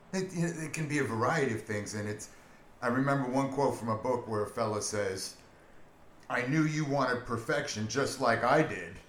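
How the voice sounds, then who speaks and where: The speech shows ordinary pitch variation, with noticeable background noise behind it. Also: man, medium pitch for a man, moderate pace. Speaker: guest friend. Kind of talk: casual conversational podcast.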